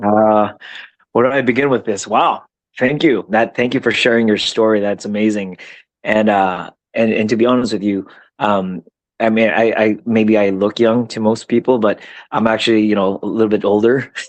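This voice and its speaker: In a plain, everyday voice, a man speaks at a fairly low pitch and moderate pace against a quiet background. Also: fairly even intonation. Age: 40s. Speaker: entrepreneur. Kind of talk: podcast conversation.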